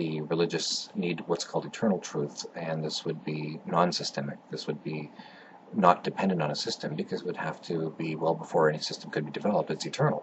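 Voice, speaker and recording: Over noticeable background noise, a man with a very deep, low pitch speaks with fairly even intonation. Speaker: atheist video blogger. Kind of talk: philosophical monologue. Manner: speaking low; halting, many fillers.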